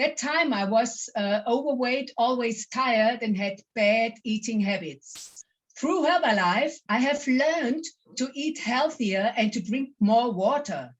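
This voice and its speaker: Her pitch is high and her intonation lively. The woman speaks at a fairly slow pace. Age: 60s. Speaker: network marketing distributor. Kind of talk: testimony.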